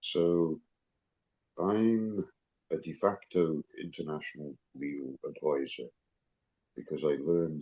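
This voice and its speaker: A man talks with an English accent at a fairly slow pace. His pitch is very deep and low. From England. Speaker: self-described international legal advisor. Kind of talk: video call discussion.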